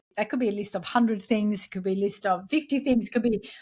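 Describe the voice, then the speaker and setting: Recorded very cleanly against a silent background, a woman with a Swedish accent speaks at a medium pitch with ordinary pitch variation. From Sweden. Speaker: entrepreneur and podcast host. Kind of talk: interview.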